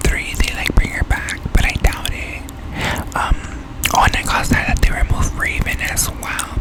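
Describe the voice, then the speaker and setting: Moderately paced whispering from a woman, with noticeable background noise. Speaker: ASMR gaming content creator. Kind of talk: casual talk to camera. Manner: soft-spoken, whispered.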